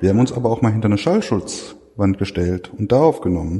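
A man's fairly low voice at a moderate pace. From Ruhr area, Germany. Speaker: museum researcher. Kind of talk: interview. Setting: workshop lunch at a museum. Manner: halting with many fillers.

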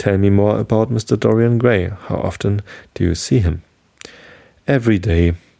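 Soft-spoken, a man with a fairly low pitch and ordinary pitch variation leaves long, frequent pauses. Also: moderate pace. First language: German. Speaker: podcast host. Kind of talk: reading aloud.

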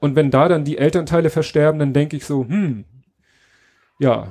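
A man with a fairly high pitch and a dark, mellow tone talks at a fairly slow pace. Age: 40s. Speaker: podcaster and bereaved father giving a talk. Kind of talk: conference talk. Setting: stage with audience. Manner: voice occasionally breaking.

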